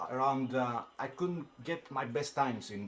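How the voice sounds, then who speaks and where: Over noticeable background noise, a man with a non-native accent talks at a medium pitch with ordinary pitch variation. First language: not English. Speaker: sim racing driver, race winner. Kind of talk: post-race interview. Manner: halting, many hesitations.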